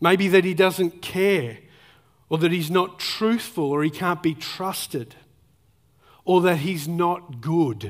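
A man with an Australian accent speaks at a very slow pace and a high pitch, with ordinary pitch variation and long, frequent pauses. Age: 40s. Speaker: pastor. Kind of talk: sermon. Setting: church.

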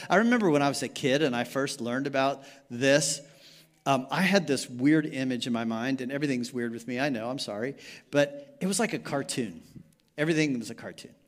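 Recorded very cleanly with a silent background, a man with an ordinary speaking voice talks at a fairly quick pace, with a fairly high pitch and ordinary pitch variation. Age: 60s. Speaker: pastor. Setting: church sanctuary with live congregation. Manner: relaxed, folksy and conversational, with frequent fillers and self-corrections; engaging the room with quick rhetorical questions and pauses for responses.

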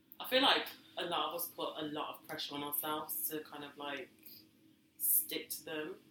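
A woman speaks in a very deep, low pitch with fairly even intonation over noticeable background noise. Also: moderate pace, big swings in loudness. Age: 30s. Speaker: podcast co-host. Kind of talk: casual chat.

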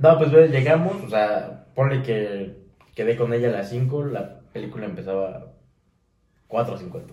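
In a room with audible echo, a man with a Mexican accent speaks at a fairly slow pace, his intonation lively and his loudness swinging widely. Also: medium pitch for a man. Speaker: podcast co-host. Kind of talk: casual chat.

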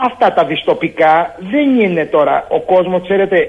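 A man's pitch sits high. He talks at a moderate pace. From Greece, Argolida (Peloponnese). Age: 60s. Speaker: farmer and cooperative president. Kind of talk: radio interview.

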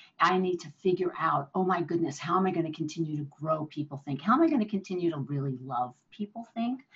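With an American accent, a woman speaks at a fairly low pitch. Her voice is somewhat breathy, with lively intonation. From New Jersey. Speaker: leadership consultant and entrepreneur. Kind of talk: interview.

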